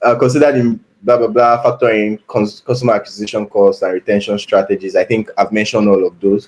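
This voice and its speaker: A man speaks at a fairly quick pace. His medium-pitched voice keeps fairly even intonation. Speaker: product manager. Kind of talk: live problem-solving walkthrough. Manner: fast; thinking aloud, hesitant fillers.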